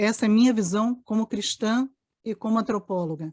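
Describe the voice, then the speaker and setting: A woman speaks with lively intonation in a somewhat breathy voice with a dark, mellow tone. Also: quiet background. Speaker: anthropologist. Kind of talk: panel discussion.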